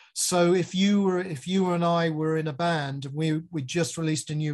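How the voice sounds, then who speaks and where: A man with an English accent, fairly high pitch, moderate pace and fairly even intonation. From England. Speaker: music video director. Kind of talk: interview.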